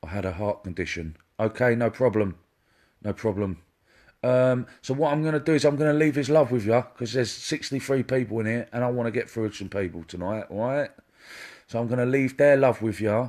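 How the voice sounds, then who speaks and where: A man with an English accent and ordinary pitch variation, on a very clean recording with a silent background. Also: medium pitch for a man, moderate pace. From England. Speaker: psychic medium. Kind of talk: live-stream psychic reading. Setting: Facebook live stream.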